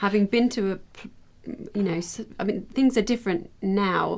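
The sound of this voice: A woman with vocal fry speaks at a medium pitch and a moderate pace, her slightly mellow tone showing ordinary pitch variation.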